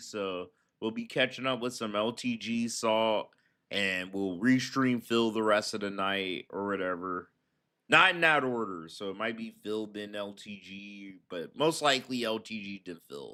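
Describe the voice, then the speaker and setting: On a very clean recording with a silent background, a man with a bright, sharp tone speaks fairly slowly at a medium pitch, with ordinary pitch variation and big swings in loudness. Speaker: streamer doing commentary on online personalities. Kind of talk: casual livestream chat. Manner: casual, profane.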